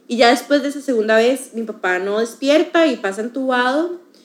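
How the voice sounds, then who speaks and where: Her voice sits at a high pitch for a woman, moving at a moderate pace with ordinary pitch variation. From Costa Rica. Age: 20s. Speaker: university student. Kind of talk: testimony.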